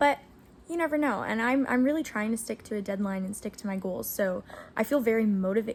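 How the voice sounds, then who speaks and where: A woman with a fairly high, somewhat breathy voice talks at a fairly quick pace. Her intonation is lively. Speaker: aspiring novelist vlogger. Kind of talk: casual vlog talk to camera. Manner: fast; energetic.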